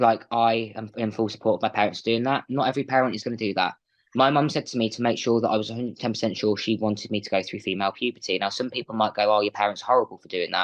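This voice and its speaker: With a Midlands accent, the speaker goes at a very fast pace with hardly any pauses and fairly even intonation against a quiet background. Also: man, medium pitch for a man. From England. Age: 20s. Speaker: interview guest. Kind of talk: podcast interview.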